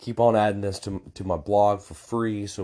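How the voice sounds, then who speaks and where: A fairly low-pitched man at a moderate pace. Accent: American. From United States. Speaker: travel blogger. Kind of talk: solo podcast monologue. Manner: halting, many fillers.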